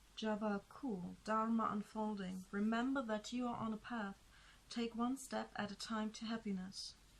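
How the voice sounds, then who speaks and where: Somewhat breathy, a woman speaks fairly slowly at a fairly high pitch with monotone, flat intonation. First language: not English. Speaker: tarot reader. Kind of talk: tarot reading. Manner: hesitant, with fillers.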